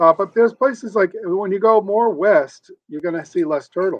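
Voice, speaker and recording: A man talks at a moderate pace with an American accent. His intonation is lively. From Rhode Island, US Northeast. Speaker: author and turtle zoo documenter. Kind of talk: podcast interview.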